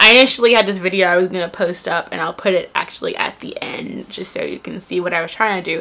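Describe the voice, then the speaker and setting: With hardly any pauses and big swings in loudness, a woman talks at a very fast pace over noticeable background noise. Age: 20s. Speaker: YouTuber. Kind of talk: casual vlog talk. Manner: casual, many fillers.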